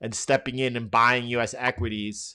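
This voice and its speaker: In a New York accent, a man talks at a fairly slow pace with a medium pitch, a bright, sharp tone and fairly even intonation, on a very clean recording with a silent background. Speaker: trading educator, live stream host. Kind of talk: live market analysis stream. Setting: live stream. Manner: casual, conversational with frequent restarts.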